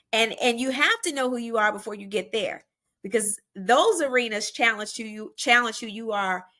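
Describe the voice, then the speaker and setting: A woman's fairly high, bright, sharp voice at a moderate pace, with ordinary pitch variation and big swings in loudness, on a very clean recording with a silent background. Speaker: media personality, former reality TV star. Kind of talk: podcast interview.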